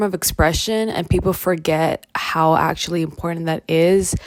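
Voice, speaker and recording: A woman with a Canadian accent speaks in an ordinary speaking voice at a moderate pace. Her pitch is fairly low, with fairly even intonation. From Toronto, Canada. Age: young. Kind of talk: casual film analysis talk to camera.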